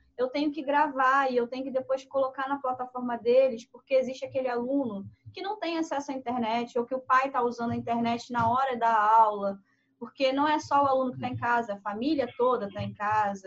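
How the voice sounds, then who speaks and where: Her voice is high, with ordinary pitch variation. The woman talks at a fairly quick pace. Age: 30s. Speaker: podcast host and teacher. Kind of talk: casual chat.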